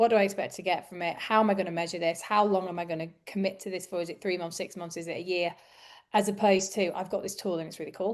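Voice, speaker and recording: A woman with a Yorkshire accent at a very fast pace, monotone and flat, against a quiet background. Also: medium pitch for a woman. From northern England, Yorkshire. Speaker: recruitment business coach. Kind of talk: podcast conversation.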